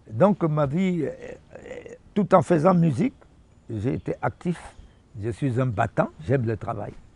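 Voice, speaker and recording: A man talks very slowly in a fairly high pitch, his pitch swinging very widely, with long, frequent pauses and noticeable background noise behind him. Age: 70s. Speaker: musician. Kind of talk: interview.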